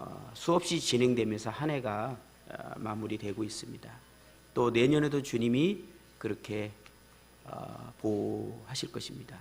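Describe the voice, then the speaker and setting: A man talks at a fairly slow pace and a medium pitch, with ordinary pitch variation and big swings in loudness. Long, frequent pauses and audible room echo run through the clip. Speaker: pastor. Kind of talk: sermon. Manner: many hesitations.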